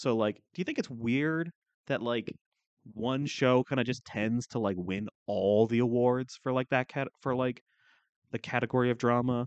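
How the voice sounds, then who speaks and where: With a slight Canadian accent, a man speaks at a moderate pace and medium pitch with fairly even intonation, the sound dry and close with no echo against a quiet background. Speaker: podcast co-host. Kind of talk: casual chat. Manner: joking, sarcastic.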